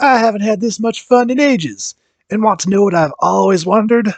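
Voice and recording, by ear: A man puts on a raspy character voice with a high pitch and ordinary pitch variation, talking at a fairly quick pace.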